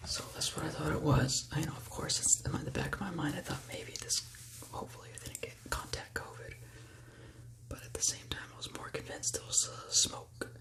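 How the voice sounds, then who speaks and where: A whispering man with an American accent at a moderate pace, big swings in loudness, and noticeable background noise. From California, USA. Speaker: ASMR creator. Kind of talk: ASMR whispered talk to camera. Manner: whispered, calming.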